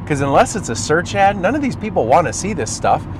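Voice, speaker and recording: A man with a Minnesota accent at a fairly quick pace, noticeable background noise behind him. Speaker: marketing agency owner. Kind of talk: tutorial. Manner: fast; animated.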